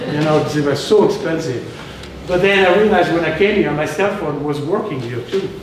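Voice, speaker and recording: The man's pitch is fairly high, and he moves at a fairly quick pace. Noticeable background noise and audible room echo surround him. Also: ordinary pitch variation. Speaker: restaurateur and chef. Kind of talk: storytelling talk to local audience. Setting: live talk with audience, slides. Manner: animated. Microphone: no microphone, room sound.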